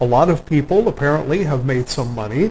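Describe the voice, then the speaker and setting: With noticeable background noise, a man with an American accent talks at a moderate pace in a fairly high pitch. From US South. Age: 60s. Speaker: autobiographical narrator. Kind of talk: personal monologue. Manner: halting, with frequent fillers.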